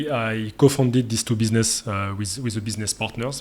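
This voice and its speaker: Medium in pitch, a man speaks in a French accent. The intonation is fairly even. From France. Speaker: SEO agency founder. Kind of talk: interview. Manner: halting, many fillers.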